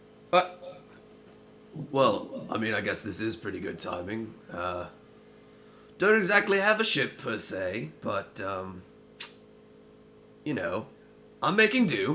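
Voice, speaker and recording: In a put-on character voice, a man talks raspily at a medium pitch and a fairly slow pace, with long, frequent pauses and clear background noise behind him. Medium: actual play.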